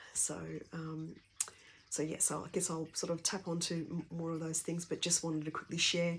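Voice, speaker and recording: A woman's quiet, fairly low voice at a fairly quick pace. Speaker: energy healer and essential oils practitioner. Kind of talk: personal talk sharing her journey and work. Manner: speaking quietly; hesitant, many fillers.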